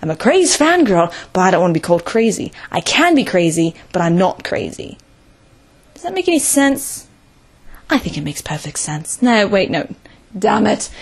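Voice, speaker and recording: A somewhat breathy woman at medium pitch and moderate pace, with very wide pitch swings and long, frequent pauses. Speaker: video reviewer. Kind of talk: casual video review monologue. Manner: animated.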